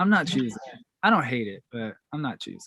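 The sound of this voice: With a bright, sharp tone and medium pitch, a man talks at a fairly quick pace with big pitch swings, in a dry, close sound with no echo.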